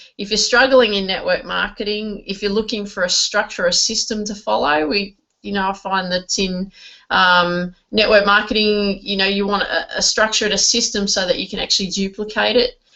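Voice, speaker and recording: Speaking with an Australian accent, a woman keeps her intonation fairly even. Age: 40s. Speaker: network marketing trainer. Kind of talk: online training webinar. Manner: hesitant, many fillers and repeats.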